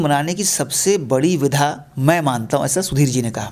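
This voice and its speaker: A man's very slow speech, fairly high in pitch, with lively intonation. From Bhagalpur, Bihar; Bihar. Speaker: film director and screenwriter; interviewee. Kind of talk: interview. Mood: warm, nostalgic. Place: home room. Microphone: handheld.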